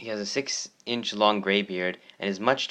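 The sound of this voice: What you hear is an unforced reading voice. Nothing about it is pushed.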